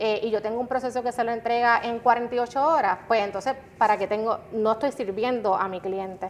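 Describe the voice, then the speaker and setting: A woman talks at a moderate pace with hardly any pauses, her fairly high pitch following fairly even intonation. She has a plain, everyday voice. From Puerto Rico (Guayama). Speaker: customer experience director. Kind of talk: interview.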